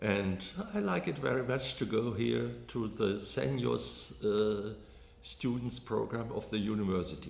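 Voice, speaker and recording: Delivered at a fairly slow pace, the speech keeps a very even loudness while audible room echo fills the space. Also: man, fairly low pitch for a man, ordinary pitch variation. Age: 80s+. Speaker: senior student. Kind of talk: interview.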